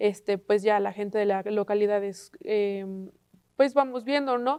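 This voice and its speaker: At a fairly slow pace, a woman speaks at medium pitch with ordinary variation and a dark, mellow tone. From Mexico, Puebla. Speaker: university student. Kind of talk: panel discussion on TV.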